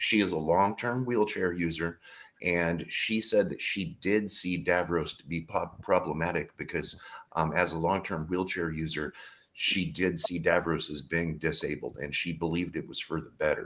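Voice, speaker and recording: A man's very deep, low voice at a moderate pace, with fairly even intonation and big swings in loudness. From United States. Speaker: panelist. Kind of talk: live panel discussion. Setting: video call.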